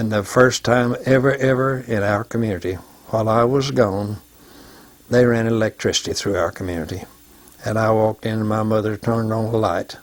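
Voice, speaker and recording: In an Arkansas accent, a man talks at a fairly quick pace. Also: medium pitch for a man, fairly even intonation. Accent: Southern US (Arkansas). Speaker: war veteran. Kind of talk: oral history testimony.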